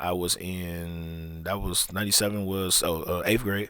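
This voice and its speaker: A man is heard on a very clean recording where the background is silent. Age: 30s. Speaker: podcast host. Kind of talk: casual monologue. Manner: halting, repetitive.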